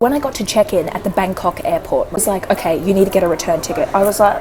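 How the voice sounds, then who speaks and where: With an Australian accent, a woman talks very fast at a medium pitch, her intonation lively, over noticeable background noise. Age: 20s. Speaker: travel vlogger. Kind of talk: casual storytelling to camera. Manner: animated, expressive.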